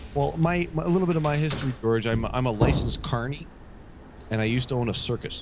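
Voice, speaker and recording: Noticeable background noise sits behind a man talking very fast. His medium-pitched voice has lively intonation. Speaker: craps shooter and former carnival announcer. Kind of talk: casual chat. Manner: halting, repeating words.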